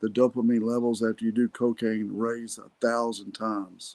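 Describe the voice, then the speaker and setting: In a Texan accent, a man speaks at a moderate pace and medium pitch with monotone, flat intonation and big swings in loudness, the sound dry and close with no echo. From Texas, Irving. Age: 60s. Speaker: podcast host. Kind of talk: motivational talk. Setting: solo podcast recording.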